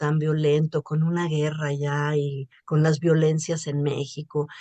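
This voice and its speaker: A woman's very deep, low voice with a dark, mellow tone, very slow in pace with hardly any pauses, dry and close with no echo. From Mexico. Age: 60s. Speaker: journalist and writer. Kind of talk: interview.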